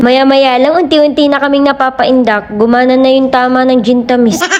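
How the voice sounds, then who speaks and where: A woman talks at a fairly quick pace in a high pitch, with noticeable background noise. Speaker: vlogger. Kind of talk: vlog narration. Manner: calm.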